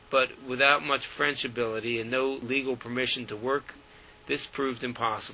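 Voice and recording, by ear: The intonation stays fairly even as the speaker reads aloud in a natural voice.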